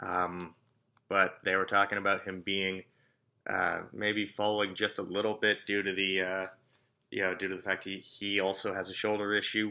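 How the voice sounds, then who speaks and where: A man speaks at a moderate pace. His fairly low voice has monotone, flat intonation. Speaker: NFL draft YouTuber. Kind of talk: casual vlog commentary. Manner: halting, many fillers.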